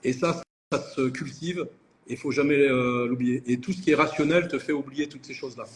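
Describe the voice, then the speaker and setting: A man with an ordinary speaking voice and fairly high pitch talks at a moderate pace with fairly even intonation and big swings in loudness. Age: 60s. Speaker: entrepreneur. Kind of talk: interview. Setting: live video call.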